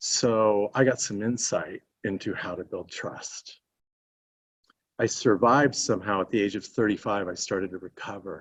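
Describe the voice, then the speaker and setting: A man with an ordinary speaking voice, fairly low pitch, fairly even intonation and a moderate pace. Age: 60s. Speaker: panel speaker, college teacher. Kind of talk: panel talk.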